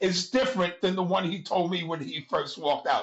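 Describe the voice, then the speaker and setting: A New York accent shapes this voice. It moves along at a middling speed. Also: man. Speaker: music club figure. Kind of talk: storytelling interview. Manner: animated.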